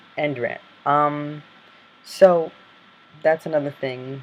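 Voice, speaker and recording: Over noticeable background noise, a man speaks fairly slowly in a fairly high pitch with flat, monotone intonation. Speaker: vlogger. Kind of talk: vlog. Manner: hesitant, many fillers. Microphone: Mac computer built-in mic, not great.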